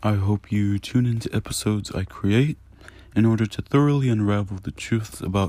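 This speaker has an American accent and a dark, mellow tone, talking at a moderate pace with fairly even intonation. The recording is very clean, with a silent background. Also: man. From Virginia (Newport News). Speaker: emergency medical technician. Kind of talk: scripted podcast intro monologue. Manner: formal.

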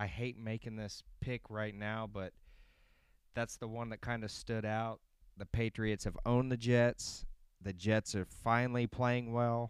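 Fairly slow man's voice with monotone, flat intonation. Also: medium pitch for a man. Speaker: sports betting picks host. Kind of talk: casual chat. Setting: home recording, live streamed. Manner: casual, relaxed.

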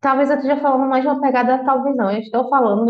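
This woman speaks in a high voice with ordinary pitch variation. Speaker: podcast host. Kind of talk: casual monologue. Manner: informal, conversational.

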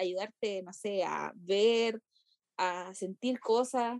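A woman talks with a Chilean accent. The sound is dry and close, with no echo. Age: 20s. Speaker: university student. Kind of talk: casual chat.

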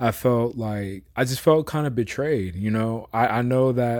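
A plain, everyday voice with an American accent, at a moderate pace. The recording is very clean with a silent background. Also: man. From US West Coast, San Francisco Bay Area. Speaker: sports podcast co-host. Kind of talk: casual chat.

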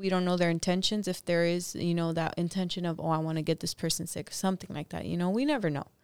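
A woman's very fast speech with a Californian accent, a fairly low pitch and fairly even intonation. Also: hardly any pauses. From Los Angeles. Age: 30s. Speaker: cleaning business co-owner. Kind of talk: casual interview.

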